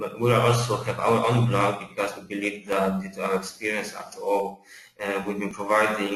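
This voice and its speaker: With audible room echo and noticeable background noise, a man with a fairly low pitch talks at a moderate pace in a monotone, flat intonation. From Poland. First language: Polish. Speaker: account manager at software company. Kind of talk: webinar presentation. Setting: online webinar. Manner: halting, many fillers and repetitions.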